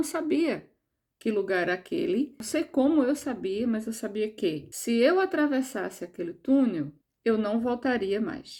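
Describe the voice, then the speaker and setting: On a very clean recording with a silent background, a woman with a fairly high pitch and a dark, mellow tone speaks at a fairly slow pace with very wide pitch swings. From Brazil, João Pessoa (Northeast). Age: 60s. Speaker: near-death experiencer sharing personal story. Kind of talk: personal testimony.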